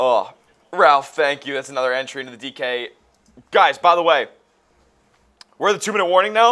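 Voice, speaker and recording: A bright, sharp tone with lively intonation comes through big swings in loudness and long, frequent pauses. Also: man, fairly high pitch for a man, fairly quick pace. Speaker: sports livestream co-host. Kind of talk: live stream chat with viewers. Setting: live video stream on camera.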